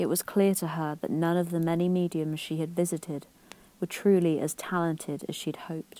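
With a British accent, a woman speaks fairly quickly in a fairly low, dark, mellow tone with monotone, flat intonation, on a very clean recording with a silent background. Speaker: podcast co-host. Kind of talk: scripted narration.

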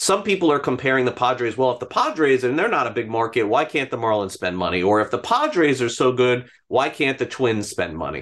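Speaking with an American accent at a fairly quick pace and hardly any pauses, a man with an unremarkable speaking voice and medium pitch uses lively intonation over a quiet background. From South Florida, North Miami. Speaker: baseball reporter and podcast host. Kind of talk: casual interview.

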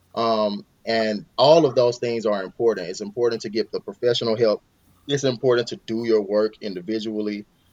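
A man speaks at a medium pitch and a fairly quick pace, with ordinary pitch variation. It is a plain, everyday voice, recorded dry and close with no echo. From US South, Mississippi. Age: 30s. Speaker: father of five, podcast guest. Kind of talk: interview conversation.

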